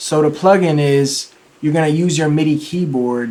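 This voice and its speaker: Speaking at a moderate pace, a man uses a fairly high pitch and fairly even intonation. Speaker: music producer and tutorial youtuber; music production tutor. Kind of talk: tutorial.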